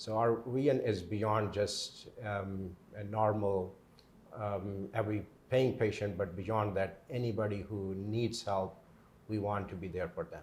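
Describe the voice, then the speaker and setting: A man with a Pakistani accent, fairly low pitch, fairly even intonation, a somewhat breathy sound and a fairly slow pace. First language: Urdu. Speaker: pain management doctor. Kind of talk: interview. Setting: on location at his clinic. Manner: halting, many fillers.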